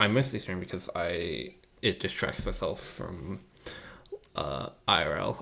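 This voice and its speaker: A soft-spoken man at a fairly slow pace. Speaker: streamer. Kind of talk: live coding stream. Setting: home computer setup, live stream.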